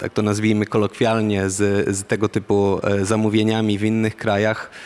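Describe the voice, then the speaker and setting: A man speaks with a Polish accent at a fairly low pitch. His intonation stays monotone and flat. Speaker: defence industry program manager. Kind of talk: panel discussion. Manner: halting, many fillers.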